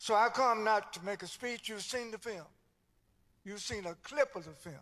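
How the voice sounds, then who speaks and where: A man with a North Carolina accent speaks at a moderate pace in a high-pitched, bright, sharp tone, with ordinary pitch variation and big swings in loudness. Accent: Southern US (North Carolina). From US South. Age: 70s. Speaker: civil rights leader and minister. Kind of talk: speech at a church service. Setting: church.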